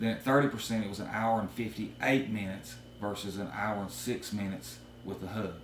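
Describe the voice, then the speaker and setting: Fairly quick and fairly even in intonation, a man speaks at a fairly low pitch. Light background noise and audible room echo are present. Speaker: drone hobbyist; product reviewer. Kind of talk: product review talk to camera. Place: home room. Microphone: camera far.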